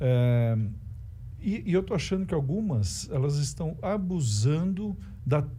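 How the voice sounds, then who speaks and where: A man speaks at a very slow pace with long, frequent pauses and very wide pitch swings. His somewhat breathy voice has a dark, mellow tone, and room echo is audible. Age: 60s. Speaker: stand-up comedian. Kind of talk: casual chat. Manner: halting.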